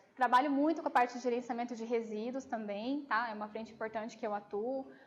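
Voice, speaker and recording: Over noticeable background noise, a high-pitched woman talks at a very fast pace with fairly even intonation and big swings in loudness. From Brazil, Campo Grande (Mato Grosso do Sul). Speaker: nurse and infection control lecturer. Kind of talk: lecture with audience Q&A. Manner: casual, hesitant with fillers.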